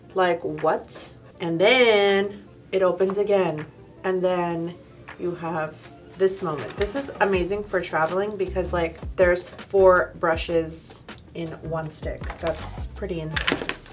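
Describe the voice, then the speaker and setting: Faint music plays in the background. The speech is very slow, with fairly even intonation. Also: woman, fairly low pitch for a woman. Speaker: beauty vlogger. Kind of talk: casual product review chat. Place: studio.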